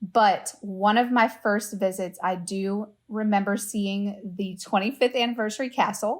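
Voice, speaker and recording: A woman with an American accent speaks at a medium pitch, somewhat breathy, at a fairly slow pace with hardly any pauses. Her intonation is fairly even, and the recording is very clean with a silent background. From US South, Louisiana. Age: 20s. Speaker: travel agent. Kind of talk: casual chat.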